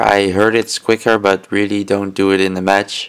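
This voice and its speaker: Moderately paced speech from a man, pitched fairly low. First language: not English. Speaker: gaming video creator. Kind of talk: tutorial. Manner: halting, many fillers.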